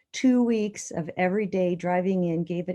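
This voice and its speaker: Against a quiet background, a woman talks with a fairly low pitch and a dark, mellow tone. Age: 60s. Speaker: interviewee sharing health story. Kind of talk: interview testimony. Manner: halting, many fillers.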